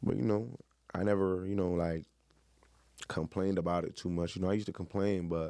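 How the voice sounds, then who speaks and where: Talking at a very fast pace, a man with a very deep, low pitch keeps fairly even intonation in a dark, mellow tone. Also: very clean recording, silent background. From Miami, Florida. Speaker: former college football player. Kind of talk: interview. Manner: loud.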